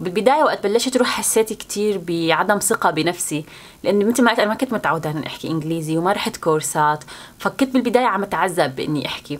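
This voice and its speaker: A woman speaks with a Syrian accent. Her intonation is lively. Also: medium pitch for a woman, fairly quick pace. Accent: Levantine Arabic (Syrian). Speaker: YouTuber, student. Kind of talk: casual vlog talk to camera.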